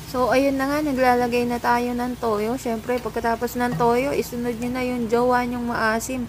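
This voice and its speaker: A woman speaks in a high pitch with flat, monotone intonation and hardly any pauses. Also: moderate pace. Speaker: cooking vlogger. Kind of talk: voice-over cooking narration. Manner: casual, joking; varying loudness, sometimes soft.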